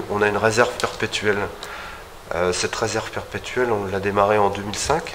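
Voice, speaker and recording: A man's fairly low-pitched voice at a fairly quick pace, with noticeable background noise. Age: 50s. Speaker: winemaker. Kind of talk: winery tour explanation. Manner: halting, many hesitations.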